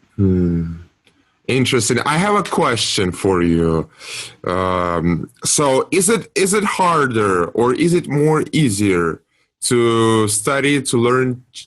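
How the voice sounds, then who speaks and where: Pitch swings very widely while the words come at a very slow pace. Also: man. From Russia, Moscow. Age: 20s. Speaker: podcast co-host, student. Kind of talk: casual chat.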